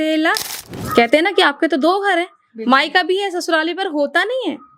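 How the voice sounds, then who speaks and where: Her intonation lively, a woman speaks at an extremely high pitch. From Uttarakhand, India. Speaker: radio anchor and voice artist. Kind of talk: poetry reading.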